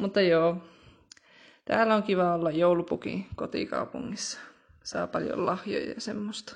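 With vocal fry and a medium pitch, a woman talks at a fairly slow pace, leaving long, frequent pauses and using ordinary pitch variation. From Rovaniemi, Finnish Lapland. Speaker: young guest. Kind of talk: casual chat. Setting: remote recording.

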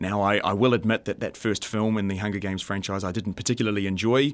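The man's speech races along at a very fast pace. Nothing is heard behind him, and the recording is very clean. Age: 20s. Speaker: film podcast host. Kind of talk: solo podcast commentary. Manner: animated.

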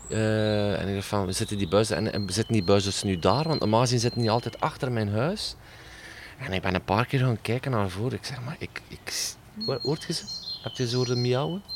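Over noticeable background noise, a man of medium pitch talks at a fairly quick pace with ordinary pitch variation. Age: 40s. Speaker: podcast host. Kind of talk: podcast intro monologue; interview. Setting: garden.

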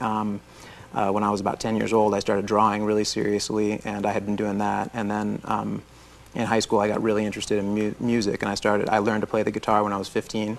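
Someone with an American accent talks at a very fast pace in a monotone, flat intonation. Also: man, fairly low pitch for a man. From Florida. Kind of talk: interview testimony. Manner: halting.

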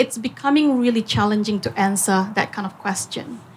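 A woman's somewhat breathy voice keeps a moderate pace and ordinary pitch variation. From Singapore. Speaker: business owner. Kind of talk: panel talk.

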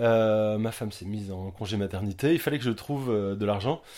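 A man's dark, mellow tone with ordinary pitch variation, on a very clean recording over a silent background. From Brittany, France (Quimper). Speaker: crêpe street food vendor. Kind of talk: casual interview. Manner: hesitant, many fillers.

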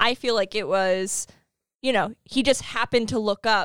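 A woman with a normal speaking voice talks at a moderate pace and fairly high pitch, her intonation fairly even, in a dry, close sound with no echo on a very clean recording with a silent background. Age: 30s. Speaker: podcast co-host. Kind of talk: casual chat.

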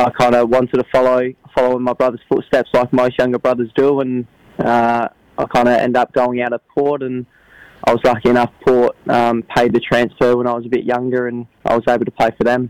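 In a South Australian accent, a man talks at a fairly quick pace with a medium pitch. His intonation is monotone and flat, and the sound is dry and close with no echo. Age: 20s. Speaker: footballer. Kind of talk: interview. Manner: halting.

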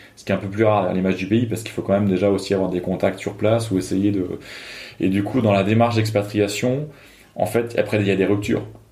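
A man talks at a very fast pace with big swings in loudness. His fairly low voice has a dark, mellow tone and monotone, flat intonation. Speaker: researcher and former deputy MP. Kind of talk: interview.

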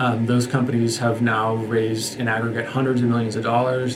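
Amid noticeable background noise and audible room echo, a man talks at a fairly quick pace with monotone, flat intonation. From Seattle. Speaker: venture capital investor. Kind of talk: interview.

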